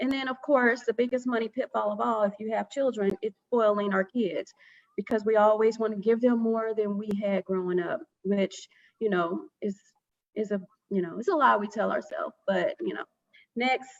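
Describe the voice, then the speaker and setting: Recorded with a dry, close sound and no echo, a woman speaks at a fairly high pitch with ordinary pitch variation. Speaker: financial educator presenter. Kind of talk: presentation. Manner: fast.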